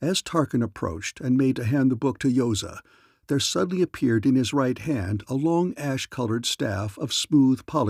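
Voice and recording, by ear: Natural-voiced reading aloud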